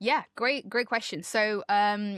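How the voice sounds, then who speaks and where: A woman speaks at a medium pitch with a British accent. The sound is dry and close with no echo, and the recording is very clean over a silent background. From UK. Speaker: zookeeper and wildlife educator. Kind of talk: podcast interview. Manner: animated.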